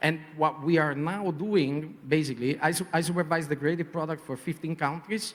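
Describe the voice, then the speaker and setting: A man with a strong Italian accent and ordinary pitch variation. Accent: heavy Italian. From Italy. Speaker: advertising creative director. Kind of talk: panel discussion. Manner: hesitant, many fillers.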